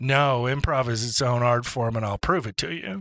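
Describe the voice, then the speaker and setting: A man's medium-pitched voice, bright and sharp in tone, at a fairly slow pace, in a very clean recording with a silent background and a dry, close sound with no echo. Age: 50s. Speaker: improv comedian and retired teacher. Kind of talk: casual interview chat.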